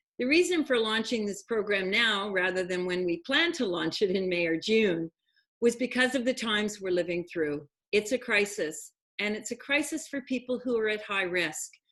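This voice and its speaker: A woman's plain, everyday voice, fairly high in pitch with lively intonation, at a moderate pace. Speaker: program host. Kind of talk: online talk show hosting.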